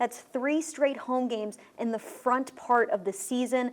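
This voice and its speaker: This is a woman's voice. Her pitch is high. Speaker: team reporter. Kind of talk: sports show hosting.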